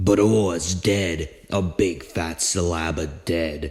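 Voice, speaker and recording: A man's put-on character voice, very deep and low in pitch, at a very slow pace. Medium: audio drama. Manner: blunt, sardonic.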